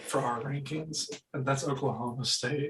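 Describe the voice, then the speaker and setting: Fairly high in pitch, a man speaks with an unremarkable speaking voice, fairly even intonation and a moderate pace. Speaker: college baseball podcast host. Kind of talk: casual chat.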